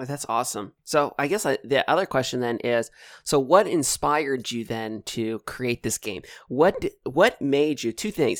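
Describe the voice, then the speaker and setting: In a dry, close sound with no echo and a very clean recording over a silent background, a man uses a normal speaking voice at medium pitch and a moderate pace. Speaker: podcast host. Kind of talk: casual interview chat.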